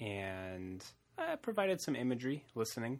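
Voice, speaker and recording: A man talks at a medium pitch. His pitch variation is ordinary. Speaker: podcast host. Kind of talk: casual chat. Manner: relaxed, conversational.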